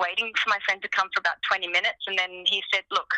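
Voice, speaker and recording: Recorded dry and close with no echo, a woman with an Australian accent speaks very fast at a medium pitch. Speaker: singer-songwriter. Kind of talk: interview.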